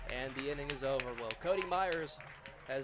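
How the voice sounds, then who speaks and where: This is a man in an ordinary speaking voice. He keeps an average pace, and his pitch moves in a normal way. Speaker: play-by-play announcer. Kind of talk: live play-by-play baseball commentary. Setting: stadium broadcast booth. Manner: brisk, upbeat, rhythmic pitch-by-pitch calls.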